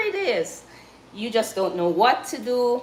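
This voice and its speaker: A high-pitched woman's voice with a Jamaican accent against noticeable background noise. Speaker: cooking livestreamer. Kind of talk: casual livestream chat. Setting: live stream. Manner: halting.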